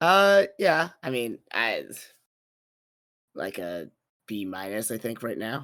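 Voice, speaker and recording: In a put-on character voice, a man talks at a medium pitch with a raspy sound, very wide pitch swings, a fairly slow pace and long, frequent pauses. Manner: defeated, flat.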